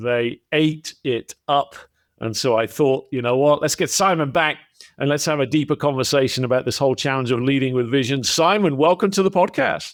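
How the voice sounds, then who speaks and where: In a very clean recording with a silent background, a man with an American accent speaks at a moderate pace in a fairly high voice with ordinary pitch variation. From England. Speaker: podcast host, former CEO. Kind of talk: casual interview chat. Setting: podcast recording.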